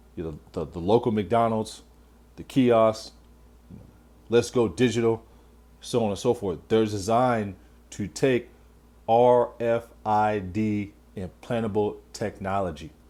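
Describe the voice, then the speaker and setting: A man with a fairly low pitch and a dark, mellow tone speaks at a fairly slow pace, with ordinary pitch variation, big swings in loudness and long, frequent pauses. The recording is very clean, with a silent background. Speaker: religious teacher. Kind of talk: religious lesson video. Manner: halting, repetitive.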